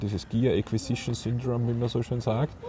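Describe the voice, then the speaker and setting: Noticeable background noise accompanies talking delivered at a fairly quick pace. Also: man. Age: 40s. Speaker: podcast host, photographer. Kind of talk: casual chat. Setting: outdoors on a park bench. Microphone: mobile mic without windscreen.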